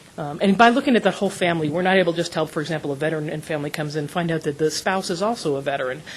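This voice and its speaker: The speech is very fast, with ordinary pitch variation. There is noticeable background noise. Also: woman. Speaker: nonprofit representative presenting to a board. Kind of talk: presentation at a public meeting.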